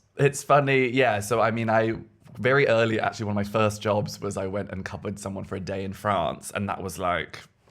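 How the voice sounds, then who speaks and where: A man with an English accent at a fairly quick pace, fairly low in pitch with ordinary pitch variation. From England. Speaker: intimacy coordinator. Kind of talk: casual chat.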